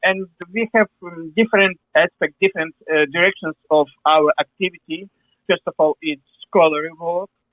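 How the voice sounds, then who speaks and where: Speaking with a Ukrainian accent, a man with a high pitch keeps a moderate pace and fairly even intonation, pausing long and often. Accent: Ukrainian accent, non-native English. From Ukraine. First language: Ukrainian or Russian. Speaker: historian, museum director. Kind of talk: interview. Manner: halting, many fillers.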